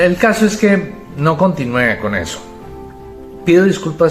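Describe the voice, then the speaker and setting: With music playing underneath, a man's pitch swings very widely as he talks. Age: 50s. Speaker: personal growth youtuber. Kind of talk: testimony.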